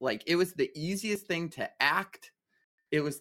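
On a very clean recording with a silent background, a man with a high, bright and sharp voice and ordinary pitch variation speaks at a fairly slow pace. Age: 30s. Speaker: Broadway actor. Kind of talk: casual chat.

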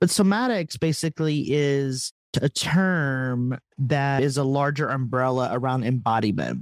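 A man with an American accent talks at a fairly slow pace in a fairly high pitch with ordinary pitch variation. The sound is dry and close, with no echo. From Texas. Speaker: theologian and author. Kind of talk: interview conversation.

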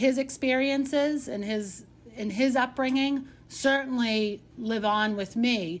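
A high-pitched woman with a Boston accent and fairly even intonation. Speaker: city councilor and mayoral candidate. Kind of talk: interview.

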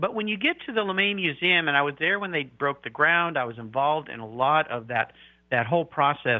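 With a plain, everyday voice, a man talks at a fairly quick pace, his fairly high pitch carried by lively intonation. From Southern California (San Diego). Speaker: car podcast host. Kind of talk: interview.

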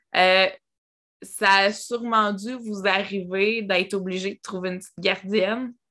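A woman with a Quebec accent speaks at medium pitch in a bright, sharp tone. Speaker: podcast host. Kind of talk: casual interview.

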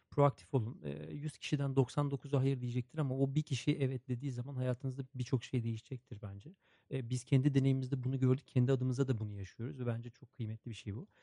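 A man talks at a very fast pace in a somewhat breathy, dark and mellow tone, his intonation fairly even while his loudness swings widely, all captured with a dry, close sound and no echo. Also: medium pitch for a man. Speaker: podcast host and social enterprise co-founder. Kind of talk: casual interview.

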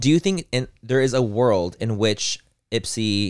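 The recording is dry and close, with no echo. A man speaks in an animated tone. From US, Mexican-American. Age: 30s. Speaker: podcast co-host. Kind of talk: casual chat.

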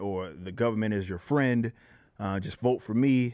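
A man's fairly low voice, a normal speaking voice at a moderate pace, on a very clean recording with a silent background. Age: 20s. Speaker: rapper and metal band frontman. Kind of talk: casual chat.

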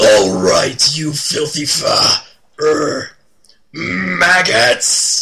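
A man's put-on character voice, pitched fairly high. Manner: yelling.

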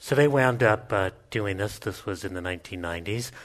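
Against a quiet background, a man with a normal speaking voice talks at a fairly quick pace in a fairly low pitch. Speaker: policy researcher and professor. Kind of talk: panel discussion before a live audience. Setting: stage with audience.

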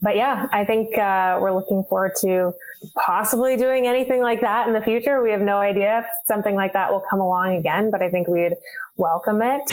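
A woman talks at a fairly quick pace with a Canadian Prairies accent. Her pitch is medium, with ordinary variation and very even loudness. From Winnipeg, Canada. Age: 20s. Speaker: curler. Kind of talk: casual chat.

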